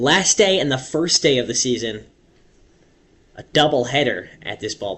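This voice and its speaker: A man talks at a fairly slow pace in an ordinary speaking voice. His intonation is lively. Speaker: radio baseball play-by-play announcer. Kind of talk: radio baseball play-by-play, half inning sample. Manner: steady, conversational.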